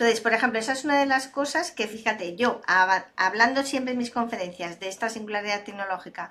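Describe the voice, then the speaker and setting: A bright, sharp, fairly high-pitched woman's voice at a very fast pace, with hardly any pauses. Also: ordinary pitch variation. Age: 60s. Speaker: data and AI expert, speaker. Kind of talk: interview conversation.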